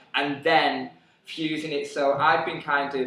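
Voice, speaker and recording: The delivery is monotone and flat, at a fairly slow pace. Room echo is audible, and there is noticeable background noise. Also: man. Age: 20s. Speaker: dancer and dance teacher. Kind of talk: interview. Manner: halting.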